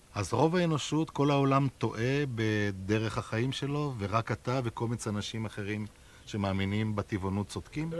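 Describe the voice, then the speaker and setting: A man with an ordinary speaking voice talks at a medium pitch and a fairly slow pace, with ordinary pitch variation. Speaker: interviewer. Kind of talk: interview questions.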